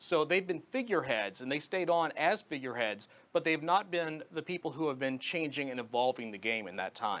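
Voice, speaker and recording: Hardly pausing, a man with an unremarkable speaking voice and fairly high pitch speaks at a fairly quick pace. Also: lively intonation. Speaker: tech journalist and radio host, guest commentator on a news channel. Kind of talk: television news interview answer.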